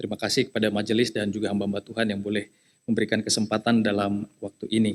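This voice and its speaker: A man speaks with a slight eastern Indonesian accent. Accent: slight eastern Indonesian (Papuan). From eastern Indonesia (Jayapura, Papua), Nias family. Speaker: lay preacher. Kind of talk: sermon. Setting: church service. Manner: conversational with many fillers.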